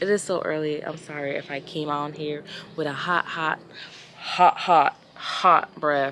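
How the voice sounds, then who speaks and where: A woman with a very deep, low pitch talks at a fairly slow pace. Her intonation is monotone and flat, with noticeable background noise behind her. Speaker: travel vlogger. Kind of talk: casual vlog talk to camera.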